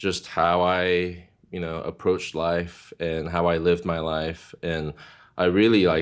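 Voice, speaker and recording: A man with a Korean accent speaks at a very slow pace. His voice is very deep and low, and his intonation is flat and monotone. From South Korea, moved to California at nine. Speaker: worship ministry leader. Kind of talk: interview testimony. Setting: video call.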